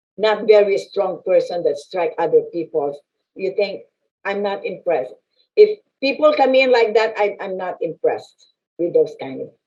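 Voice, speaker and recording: Big swings in loudness from a woman speaking at a moderate pace. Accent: Filipino. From Philippines. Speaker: business chamber president and land specialist. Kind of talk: interview conversation.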